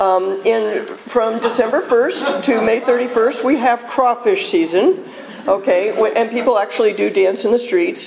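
Light noise in the background of a woman's voice. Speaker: speaker. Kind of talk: public talk to audience. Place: hall.

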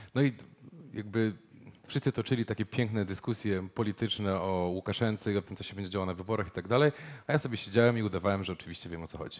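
Talking at a very fast pace, a man with a fairly low pitch shows big swings in loudness and ordinary pitch variation. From Poland, Poznań; Poland. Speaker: journalist and media startup founder; journalist. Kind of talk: presentation with live interpretation. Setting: stage with audience. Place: meeting room.

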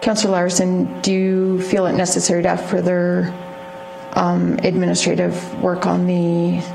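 Over clear background noise, a woman talks at a fairly slow pace in a fairly low pitch, with vocal fry and monotone, flat intonation.

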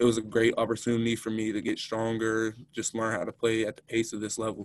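A man talks at a very fast pace with monotone, flat intonation in a dry sound with no echo. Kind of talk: interview answer. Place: meeting room. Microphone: video call.

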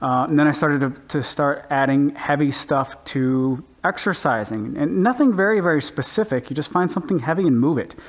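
The pace is moderate. The intonation is lively. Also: man. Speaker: home gym vlogger. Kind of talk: casual vlog chat. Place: garage.

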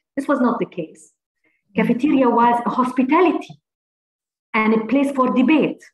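Speaking at a moderate pace with long, frequent pauses, a woman with an Arabic accent has a high pitch and ordinary pitch variation, heard with audible room echo and light background noise. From Palestine. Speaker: university administrator. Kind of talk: reading a prepared text; interview. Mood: earnest, heartfelt. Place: home room. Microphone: video call.

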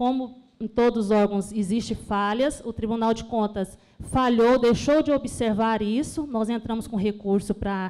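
Her voice sits at a fairly high pitch with a dark, mellow tone, and the woman keeps her intonation fairly even. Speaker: pension fund legal staff. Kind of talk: audience question.

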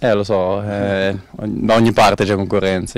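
The man's voice is very deep and low, with monotone, flat intonation. The sound is dry, with no echo. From northern Italy, Busto Arsizio; northern Italy. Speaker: footballer. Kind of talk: interview. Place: stadium. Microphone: handheld.

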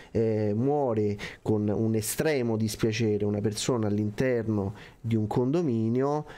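With a dark, mellow tone at a medium pitch, a man talks at a fairly slow pace, his intonation fairly even and his loudness very even. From Rome. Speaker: co-host of online meeting for condominium administrators. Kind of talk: casual chat, live stream. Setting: online video stream. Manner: jokey, informal.

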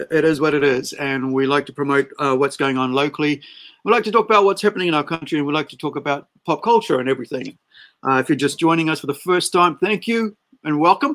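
This man's pitch moves in an ordinary way. He talks at a very fast pace. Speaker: livestream host. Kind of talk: casual livestream chat. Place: home room. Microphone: webcam.

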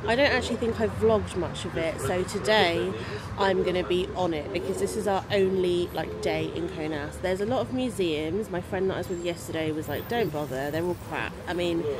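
A woman at a fairly quick pace with hardly any pauses, in a dry sound with no echo and noticeable background noise. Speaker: travel vlogger. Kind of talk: casual vlog chat. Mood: relaxed, chatty. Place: cafe. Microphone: phone near.

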